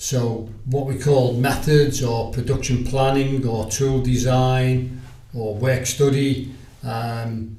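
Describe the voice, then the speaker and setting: A man with a Liverpool accent speaks very slowly at a medium pitch, his intonation monotone and flat, with audible room echo. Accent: Liverpool (Scouse). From Liverpool, England. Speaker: retired sales agent. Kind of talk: interview.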